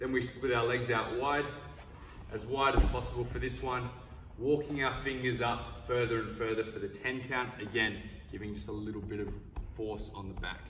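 Fairly even intonation at a moderate pace, with audible room echo and light background noise. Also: man. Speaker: wrestling coach. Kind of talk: tutorial. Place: gym.

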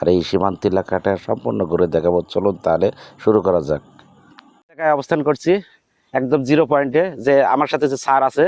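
With vocal fry and very wide pitch swings, a man speaks at medium pitch and very even loudness, the sound dry and close with no echo. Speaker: vlogger. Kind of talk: walking tour vlog narration. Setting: outdoors.

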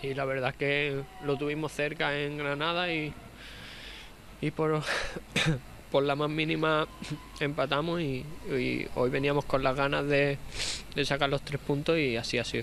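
With long, frequent pauses, a man speaks fairly slowly in a flat monotone at a fairly high pitch, the sound dry with no echo and light background noise present. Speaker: professional footballer. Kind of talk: post-game interview answer. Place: stadium.

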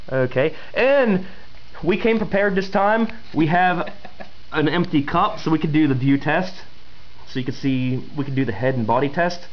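The delivery moves at a moderate pace, broken by long, frequent pauses. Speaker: beer reviewer. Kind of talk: casual review chat. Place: home room. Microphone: camera far.

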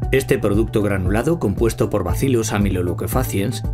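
Over clear music in the background, a man speaks at a moderate pace in a fairly low pitch. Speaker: voice-over artist. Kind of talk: TV commercial read. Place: studio.

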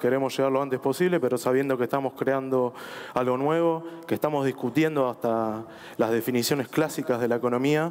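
Fairly even intonation from a man at a moderate pace. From Argentina. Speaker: government official; panelist. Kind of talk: panel discussion. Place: stage. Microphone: headset.

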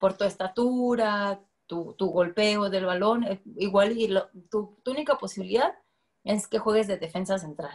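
A woman speaks fairly slowly, with ordinary pitch variation, in front of a quiet background. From Guadalajara, Jalisco, Mexico. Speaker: women's football coach. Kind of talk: interview. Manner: casual, many fillers. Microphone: video call.

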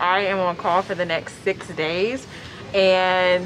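Faint music sits in the background as a woman speaks. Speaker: flight attendant vlogger. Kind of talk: casual vlog chat. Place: station. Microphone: phone near.

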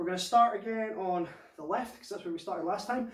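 A man talks with ordinary pitch variation against a quiet background, with audible echo in the room. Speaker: fitness instructor. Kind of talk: workout class instruction. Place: home room. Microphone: camera far.

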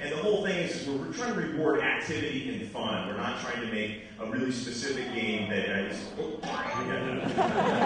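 Amid noticeable background noise and strong room echo, a man talks at a moderate pace with hardly any pauses. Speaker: presenter. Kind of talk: conference presentation. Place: hall.

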